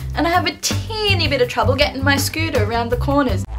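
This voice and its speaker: A woman speaks with an Australian accent while clear music plays in the background. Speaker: vlogger. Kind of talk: casual vlog talk to camera. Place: home room. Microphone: webcam.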